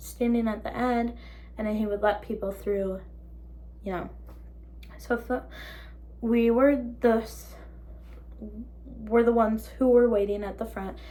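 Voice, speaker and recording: Speaking at a moderate pace with an American accent, a woman leaves long, frequent pauses, her loudness swinging widely amid audible room echo. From Minnesota. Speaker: vlogger. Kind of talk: story time. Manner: animated.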